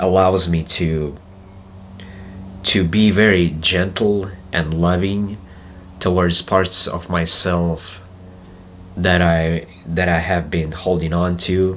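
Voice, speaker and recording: Spoken with a Russian accent at a very slow pace, the speech has long, frequent pauses, monotone, flat intonation and audible room echo. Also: man. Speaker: spiritual self-help speaker. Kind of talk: reflective monologue. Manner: halting.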